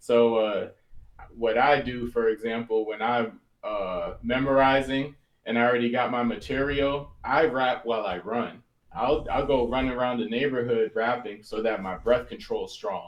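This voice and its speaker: Here is an ordinary speaking voice from a man with an American accent. He talks at a moderate pace with a medium pitch. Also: fairly even intonation. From US East Coast. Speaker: battle rapper. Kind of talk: interview.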